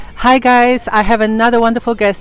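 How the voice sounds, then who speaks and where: Background noise can be noticed clearly. A woman talks in a fairly high pitch over it. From Poland. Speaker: YouTuber interviewer. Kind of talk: casual interview chat.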